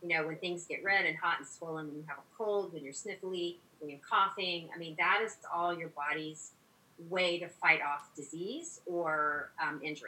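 At a moderate pace, a woman with a normal speaking voice talks in a fairly low pitch with fairly even intonation. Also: big swings in loudness. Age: 50s. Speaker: physician. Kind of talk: interview.

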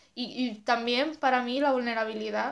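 The recording is very clean with a silent background. A woman with a high pitch speaks in a flat monotone. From Asturias, Spain. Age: 20s. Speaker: photographer and zine maker. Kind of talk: casual chat.

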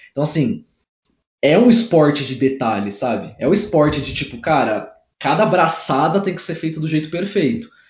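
Very wide pitch swings from a man with a fairly high voice, at a moderate speed. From interior of São Paulo state, Brazil. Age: 20s. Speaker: civil engineer and study coach. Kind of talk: casual interview. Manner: animated.

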